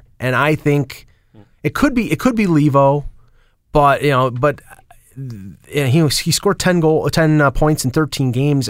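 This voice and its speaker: Recorded very cleanly against a silent background, a man with a Buffalo accent speaks at a moderate pace. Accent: Buffalo, western New York. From Buffalo, western New York. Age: 50s. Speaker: sports writer and radio caller. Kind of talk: casual chat. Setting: studio.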